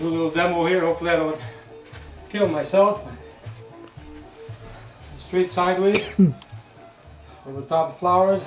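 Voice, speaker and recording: A man speaks at a moderate pace with a high pitch and fairly even intonation, leaving long, frequent pauses. Faint music plays behind him, and the room echo is audible. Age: 60s. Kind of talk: casual martial arts demonstration talk. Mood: joking, light-hearted. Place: home room. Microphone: camera far.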